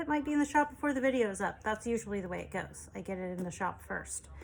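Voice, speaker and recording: A woman speaks quietly in a fairly high pitch. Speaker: junk journal maker and online seller. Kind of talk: product show-and-tell video. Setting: home desk recording. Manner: sometimes mumbling; quieting down over time.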